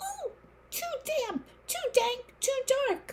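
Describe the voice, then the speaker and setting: This is a put-on character voice. It sounds squeaky, with an extremely high pitch. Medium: read story.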